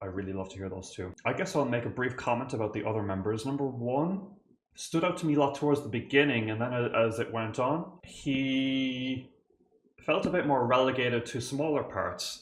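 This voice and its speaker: Over audible room echo, a man with an Irish accent speaks at a medium pitch and a moderate pace, with ordinary pitch variation. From Ireland. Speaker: composer and music reactor. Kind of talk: reaction video commentary. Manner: animated.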